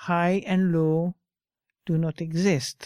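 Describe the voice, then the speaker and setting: A woman with a French accent speaks at a very slow pace in a fairly low pitch and a dark, mellow tone, her intonation monotone and flat, in a dry, close sound with no echo on a very clean recording with a silent background. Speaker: Buddhist teacher. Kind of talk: dharma talk with reading aloud from a book. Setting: talk to a live group in a room. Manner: informal, hesitant with fillers.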